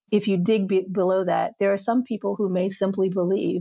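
Dark and mellow in tone, a woman's medium-pitched voice moves at a moderate pace with fairly even intonation in a dry, close sound with no echo. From US South. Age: 50s. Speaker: podcast guest, filmmaker. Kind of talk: casual conversation.

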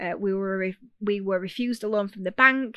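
A woman with a Yorkshire accent speaks at a medium pitch, recorded dry and close with no echo. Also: quiet background. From Yorkshire, northern England. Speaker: podcast host, education business owner. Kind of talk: podcast monologue. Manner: direct, to the point.

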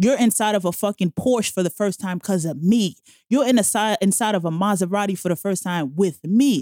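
A woman with a New York accent, medium in pitch with ordinary variation, dark and mellow in tone, at a fairly quick pace, in a dry, close sound with no echo. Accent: New York City. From New York City, Jamaica, Queens. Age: 30s. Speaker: podcaster. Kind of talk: casual chat.

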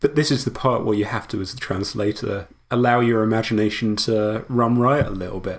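A man with a British accent, medium in pitch, fairly even in intonation, at a fairly quick pace. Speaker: historian and translator. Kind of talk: casual chat.

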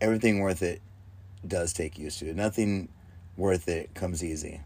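On a very clean recording with a silent background, a man speaks in a very deep, low pitch with fairly even intonation. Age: 40s. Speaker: podcast host. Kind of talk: casual monologue. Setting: inside an RV. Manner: casual, laid-back.

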